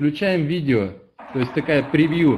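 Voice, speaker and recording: A man talks very slowly in a fairly high voice, his pitch varying in an ordinary way. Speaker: company representative. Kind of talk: live report. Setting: on location video link. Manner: excited.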